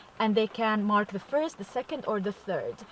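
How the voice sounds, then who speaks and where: A woman talks at a fairly high pitch, and noticeable background noise can be heard. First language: not English. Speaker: vlogger. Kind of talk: casual vlog. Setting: in a car. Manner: casual, hesitant with fillers.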